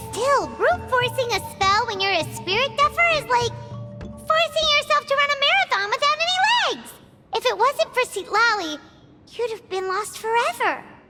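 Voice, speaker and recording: With music playing behind it, a squeaky, put-on character voice at an extremely high pitch moves at a moderate pace. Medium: video game. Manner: blunt, excitable.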